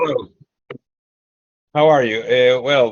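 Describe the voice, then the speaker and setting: A man with a Peruvian accent speaks at a fairly slow pace. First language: Spanish. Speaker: sociologist and political activist. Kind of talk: presentation. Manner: halting, many fillers.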